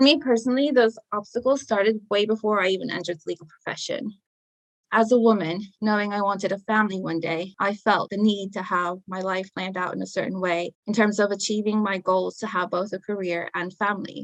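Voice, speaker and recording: Talking at a fairly quick pace, a woman with a non-native accent uses a medium pitch and ordinary pitch variation. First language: not English. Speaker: paralegal in criminal defence. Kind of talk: podcast interview, personal testimony.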